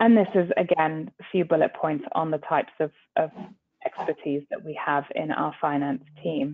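A woman speaks in a very deep, low voice at a moderate pace. Her pitch varies in an ordinary way over light background noise. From Middle East. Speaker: corporate lawyer. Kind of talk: business presentation. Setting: video call. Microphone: video call.

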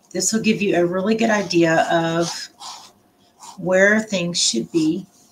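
A woman's voice with ordinary pitch variation over light background noise. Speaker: art instructor. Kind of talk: tutorial. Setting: home live stream. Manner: casual, halting with fillers. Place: home room. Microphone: webcam.

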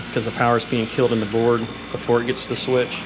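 Noticeable background noise under a man's speech. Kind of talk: tutorial. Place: workshop. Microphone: phone near.

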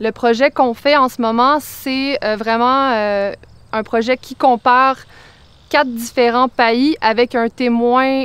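The woman's pace is very slow and her intonation fairly even. The sound is dry, with no echo. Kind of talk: interview answer. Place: farm.

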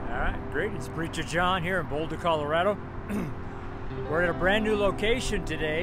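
Over loud background noise, a man speaks at a moderate pace with a dry sound and no echo. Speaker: street preacher, founding pastor, missionary. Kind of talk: casual talk to camera, sermon-style street ministry. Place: street. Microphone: phone near.

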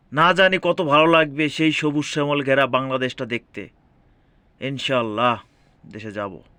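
The background is quiet as a man speaks in a fairly high pitch with ordinary pitch variation. His tone is bright and sharp. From Bangladesh. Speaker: migrant worker vlogger. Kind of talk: personal vlog monologue. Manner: halting.

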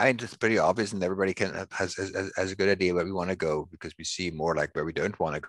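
A man with a very deep, low pitch talks at a very fast pace and with ordinary pitch variation, the sound dry with no echo over a quiet background. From Switzerland. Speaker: sustainability researcher; guest. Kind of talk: interview. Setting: video call. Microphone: headset.

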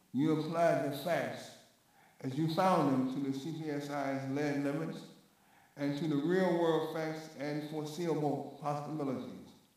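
Over strong room echo, a man with a fairly high pitch speaks at a fairly slow pace in a monotone, flat delivery. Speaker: committee chairman. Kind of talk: formal hearing. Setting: hearing room. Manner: halting. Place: hall.

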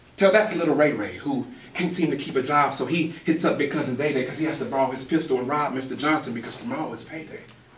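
Speaking at a very fast pace, a man uses lively intonation. Audible room echo and light background noise are present. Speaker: spoken word poet. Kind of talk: spoken word poetry performance. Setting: live open mic venue. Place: stage. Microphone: camera far.

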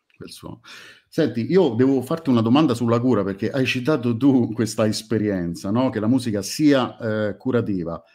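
A man speaks at a moderate pace in a dark, mellow tone with ordinary pitch variation. His loudness swings widely against a quiet background. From Italy. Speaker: music fan group moderator. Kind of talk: casual chat. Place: home room.

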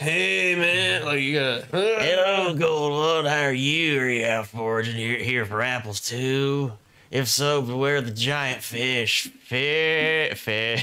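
Putting on a character voice, a man talks at a fairly slow pace with hardly any pauses and a medium pitch. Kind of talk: casual slang. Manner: laid-back, mellow.

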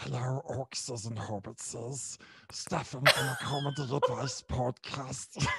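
Doing a raspy put-on character voice, a man speaks at a fairly slow pace in a medium pitch.

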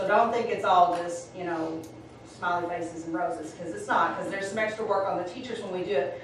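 A woman talks at a very fast pace with fairly even intonation, in strong room echo over light background noise. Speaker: school administrator reporting to board. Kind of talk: meeting report. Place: meeting room. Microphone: camera far.

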